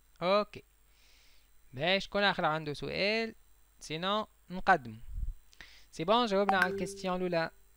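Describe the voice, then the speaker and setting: On a very clean recording with a silent background, a man with a Tunisian accent uses a raised, projected voice and a bright, sharp tone at a high pitch, with ordinary pitch variation and a moderate pace broken by long, frequent pauses. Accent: Tunisian Arabic with French code-switching. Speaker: chemistry teacher. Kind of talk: lecture.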